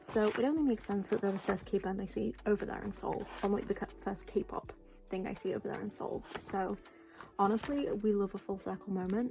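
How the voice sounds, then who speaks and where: A woman speaks softly. Her pace is fairly quick. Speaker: K-pop collector vlogger. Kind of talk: casual chat. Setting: home at night. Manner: soft-spoken; hesitant, many fillers.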